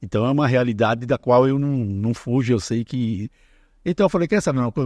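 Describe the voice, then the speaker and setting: A man talking at a very fast pace with ordinary pitch variation, in dry, close sound with no echo against a quiet background. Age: 70s. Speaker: author. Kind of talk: casual chat.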